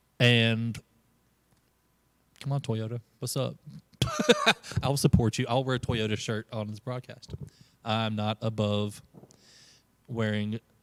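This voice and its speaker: A man with a medium-pitched voice speaks at a fairly slow pace, leaving long, frequent pauses. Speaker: youth pastor. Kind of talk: casual chat on live stream. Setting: live stream with new equipment. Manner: animated.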